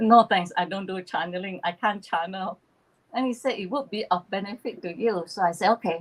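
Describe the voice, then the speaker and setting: Somewhat breathy, a woman talks at a moderate pace and a medium pitch. She speaks in a strong Malaysian accent. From East Malaysia (Borneo), Chinese Malaysian. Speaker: spiritual channeler, YouTuber. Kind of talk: casual chat on a livestream.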